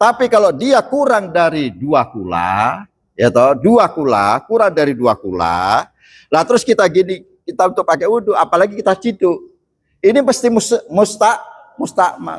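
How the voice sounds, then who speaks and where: Very cleanly recorded against a silent background, a man speaks at a moderate pace. His pitch is high and swings very widely. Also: very even loudness. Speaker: Islamic preacher. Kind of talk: sermon. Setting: mosque. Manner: halting.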